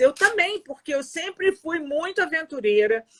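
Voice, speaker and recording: With a raised, projected voice, a woman speaks at a moderate pace in a bright, sharp tone with lively intonation. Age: 60s. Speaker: Instagram live host. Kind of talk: casual chat. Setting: video call.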